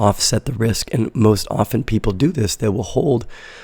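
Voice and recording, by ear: A man speaks at a fairly quick pace with a fairly low pitch. His voice is raspy, with a dark, mellow tone.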